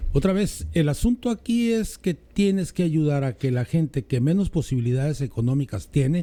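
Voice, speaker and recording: A man's fairly high-pitched, dark, mellow voice with lively intonation at a fairly slow pace. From Mexico, Mexicali. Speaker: political commentator. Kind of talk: casual political chat.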